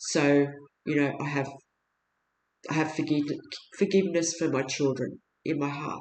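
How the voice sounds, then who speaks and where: This woman has an Australian accent. Her pitch is very deep and low. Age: 60s. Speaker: video blogger appealing for help. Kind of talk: personal testimony monologue. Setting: at home. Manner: halting, with fillers and restarts.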